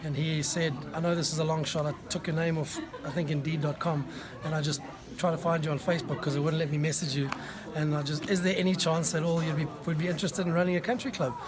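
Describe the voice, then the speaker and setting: A man with a South African accent at a fairly high pitch, very fast pace and fairly even intonation, with audible room echo and crowd noise in the background. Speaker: executive chef. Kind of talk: interview. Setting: food tasting event.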